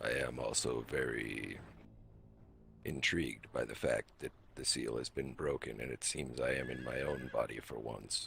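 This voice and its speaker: A man puts on a character voice at a moderate pace. Clear background noise can be heard. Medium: game stream. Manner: calm, measured, detached.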